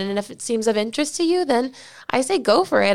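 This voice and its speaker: A woman with an American accent has an unremarkable speaking voice, a fairly high pitch and lively intonation at a fairly quick pace. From South Florida. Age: 20s. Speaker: beauty pageant titleholder. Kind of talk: interview.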